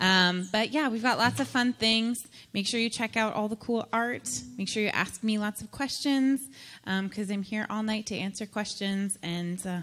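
Her pitch varies in an ordinary way as a woman speaks at a moderate pace. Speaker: event host. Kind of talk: host announcements. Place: hall. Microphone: handheld.

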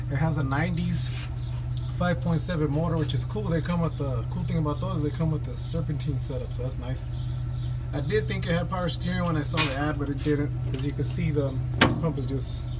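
A man at a fairly quick pace, under loud background noise. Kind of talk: casual vlog walkaround. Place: open country. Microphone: phone near.

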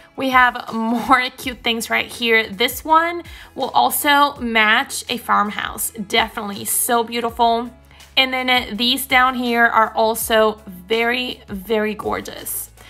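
With faint music in the background, a woman speaks at a very slow pace with fairly even intonation. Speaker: shopping vlogger. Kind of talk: casual shop-with-me commentary. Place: shop. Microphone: phone near.

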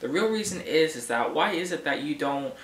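Light background noise and audible room echo sit behind the speaker. A man talks at a moderate pace. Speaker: vlogger. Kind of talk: casual vlog rant. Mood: annoyed, ranting. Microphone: webcam.

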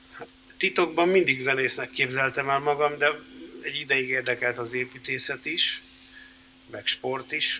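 A man at medium pitch and a fairly slow pace, fairly even intonation, big swings in loudness, long, frequent pauses, and light background noise. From Hungary. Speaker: composer and band founder; interviewee. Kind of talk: interview before audience. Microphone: studio mic.

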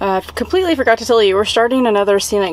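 This is a woman speaking. The sound is dry, with no echo. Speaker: van life travel vlogger. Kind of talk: casual vlog chat. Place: car. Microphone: phone near.

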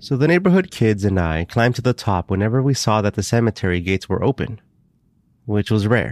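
A man with an ordinary speaking voice and a fairly low pitch talks at a fairly quick pace with lively intonation. His loudness stays very even, and the recording is very clean with a silent background. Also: dry, close sound with no echo. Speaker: podcast host and storyteller. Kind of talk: first-person ghost story narration, read from a script. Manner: hushed, suspenseful storytelling tone building dread; measured, steady pacing with reflective pauses.

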